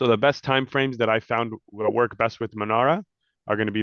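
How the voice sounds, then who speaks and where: A man at a medium pitch, with fairly even intonation and a fairly quick pace. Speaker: forex trader and trading educator. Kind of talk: trading tutorial. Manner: fast.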